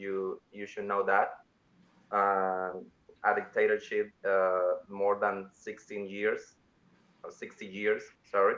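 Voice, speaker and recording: With a Cuban accent, a man with a fairly low pitch speaks very slowly in a flat monotone, his loudness swinging widely between long, frequent pauses. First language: Spanish. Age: 20s. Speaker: journalist. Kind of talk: interview. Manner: halting, many fillers.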